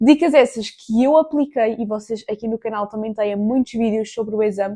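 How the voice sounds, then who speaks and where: A woman speaks with a European Portuguese accent, her pitch fairly high and her tone dark and mellow. Her pace is moderate, with ordinary pitch variation. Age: 20s. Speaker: student vlogger and tutor. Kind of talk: study tips vlog. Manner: casual, chatty.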